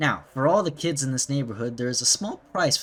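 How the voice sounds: A natural reading voice, its pitch varying the usual amount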